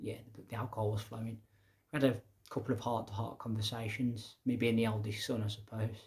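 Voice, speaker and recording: A man with a slight Midlands accent talks at a fairly quick pace in a somewhat breathy, medium-pitched voice with monotone, flat intonation. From English Midlands. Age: young. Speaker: educator and public speaker. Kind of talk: casual monologue. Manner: conversational.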